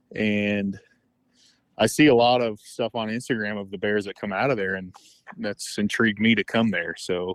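Against a quiet background, a man with an American accent and an ordinary speaking voice talks at a moderate pace with fairly even intonation. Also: fairly low pitch for a man. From Northern California. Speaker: bear hunter. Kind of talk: interview.

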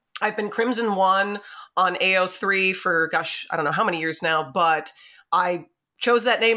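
A woman with an unremarkable speaking voice talks at a medium pitch and a moderate pace with ordinary pitch variation. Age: 30s. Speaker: fanfiction author and audiobook narrator. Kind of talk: casual interview. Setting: home podcast setup.

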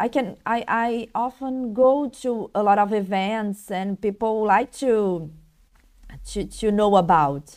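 A woman with a Brazilian Portuguese accent speaks very slowly at a fairly high pitch with ordinary pitch variation. The recording is very clean, with a silent background. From Brazil, Rio de Janeiro. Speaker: blogger. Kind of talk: interview. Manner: halting.

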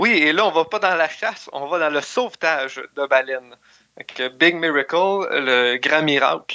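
This man talks fairly slowly, with a fairly high pitch, ordinary pitch variation and an ordinary speaking voice. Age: young. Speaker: film reviewer. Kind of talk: casual chat.

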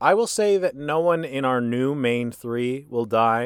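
This man has a plain, everyday voice at medium pitch, speaking at a fairly slow pace with lively intonation. The recording is very clean with a silent background and a dry, close sound with no echo. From US Midwest, northern Illinois. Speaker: podcast co-host. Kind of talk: casual chat.

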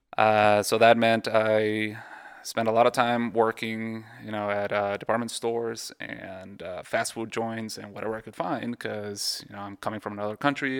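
A man with a slight Mexican accent speaks at a moderate pace and medium pitch, his intonation monotone and flat. His loudness swings widely on a very clean recording with a silent background. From Mexico. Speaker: radiologist. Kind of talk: casual interview. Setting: in person at a home.

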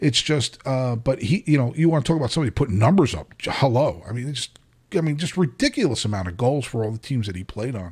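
On a very clean recording with a silent background, a man with an American accent talks at a very fast pace. His medium-pitched, somewhat breathy voice has lively intonation. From New Jersey, US. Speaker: podcast host. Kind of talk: casual chat. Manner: animated.

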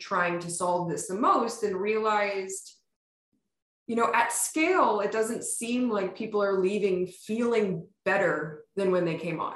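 A woman at a fairly slow pace in an American accent, medium pitch, ordinary pitch variation and audible room echo. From US Northeast, Pennsylvania (Poconos). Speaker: startup founder and CEO. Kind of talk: casual interview.

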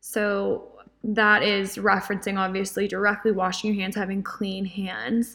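The voice has a bright, sharp tone and stays monotone and flat. The recording is very clean, with a silent background. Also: woman, medium pitch for a woman. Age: 20s. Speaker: podcast host. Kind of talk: devotional podcast monologue. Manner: casual.

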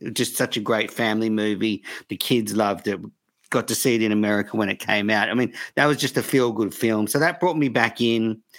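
Here a man uses a plain, everyday voice at a medium pitch with ordinary pitch variation. He moves at a fairly quick pace on a very clean recording with a silent background. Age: 40s. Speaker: cricket podcaster. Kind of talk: casual interview chat.

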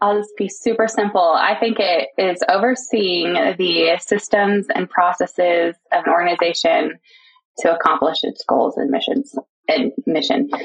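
In an American accent, a woman with an ordinary speaking voice talks at a fairly slow pace, her medium pitch carrying lively intonation. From Texas, Houston area. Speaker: founder of an administrative assistant agency. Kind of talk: interview conversation.

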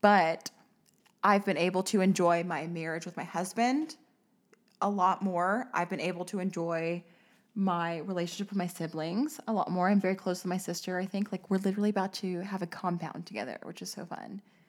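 A fairly quick-paced woman's voice, medium in pitch and with ordinary pitch variation. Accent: American. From Arkansas, US South. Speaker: podcast host. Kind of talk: casual chat. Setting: studio, shared single mic. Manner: animated.

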